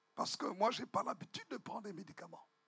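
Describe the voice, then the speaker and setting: A man is speaking. Music plays in the background. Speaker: visiting bishop preaching. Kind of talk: sermon. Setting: church. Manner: usually loud, shouting.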